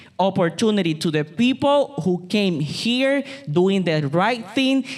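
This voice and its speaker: Speaking with a Puerto Rican accent, the voice moves at a fairly slow pace. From Puerto Rico. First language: Spanish. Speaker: political candidate, city employee. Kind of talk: campaign speech. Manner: halting.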